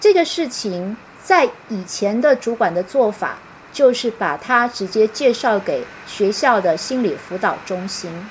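Lively intonation and a fairly high pitch in a woman's fairly slow delivery. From Taiwan. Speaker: university professor and author. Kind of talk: online book talk lecture. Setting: live-stream video call.

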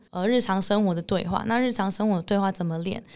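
In a very clean recording with a silent background, a woman at medium pitch talks at a very fast pace with fairly even intonation. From Netherlands. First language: English (speaking Chinese). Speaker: English teacher. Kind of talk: interview.

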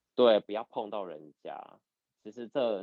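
A man speaks with an unremarkable speaking voice at a medium pitch. His pace is moderate, with ordinary pitch variation. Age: 30s. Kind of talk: casual chat.

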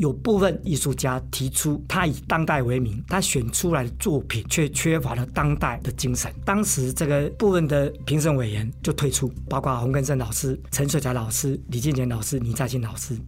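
Pauses are hardly present. The pace stays moderate. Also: man. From Taiwan, Lukang (Changhua). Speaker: art professor and curator. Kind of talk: interview.

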